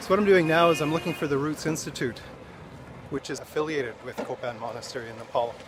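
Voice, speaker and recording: Fairly high pitch from a man, ordinary in its pitch variation, with noticeable background noise. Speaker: travel vlogger. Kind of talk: travel vlog narration. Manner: hesitant, many fillers; soft-spoken.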